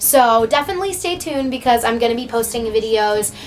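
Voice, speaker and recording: Over noticeable background noise, a woman talks in an animated tone at a very fast pace and a fairly high pitch. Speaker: vlogger. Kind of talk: casual vlog talk to camera.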